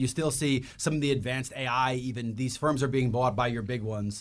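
This man talks fairly quickly in a medium pitch, his intonation fairly even. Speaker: podcast co-host. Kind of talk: casual chat. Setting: studio. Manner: fast.

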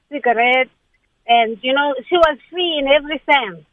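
A woman speaks at a moderate pace in a high voice, sounding excited, with ordinary pitch variation. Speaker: caller. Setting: phone call.

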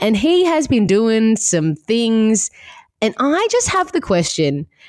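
Speaking at a fairly slow pace in an Australian accent, a woman sounds dry and close, with no echo. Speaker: podcast host. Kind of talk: casual chat. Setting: remote call.

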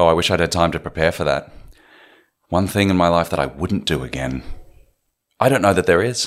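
The recording is very clean and the background is silent. An Australian accent comes through in the speech. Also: man. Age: 30s. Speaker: film director and writer. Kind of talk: interview.

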